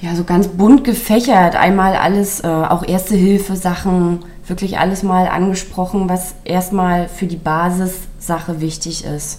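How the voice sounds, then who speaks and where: A woman's medium-pitched voice at a fairly slow pace with hardly any pauses, plus audible room echo and noticeable background noise. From Mecklenburg-Western Pomerania. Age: 30s. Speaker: small business founder, caregiver. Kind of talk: interview.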